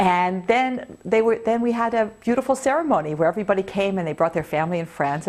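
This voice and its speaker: A woman with a Canadian accent talks at a very fast pace with hardly any pauses, using a medium pitch and lively intonation. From Canada, Toronto. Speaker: video blogger. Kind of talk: personal vlog monologue. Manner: animated.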